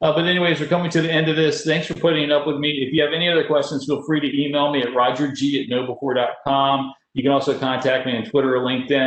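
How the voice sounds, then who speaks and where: A man at a very fast pace with hardly any pauses, fairly even intonation, and noticeable background noise. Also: fairly high pitch for a man. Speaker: security awareness presenter. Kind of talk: webinar presentation. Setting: webinar.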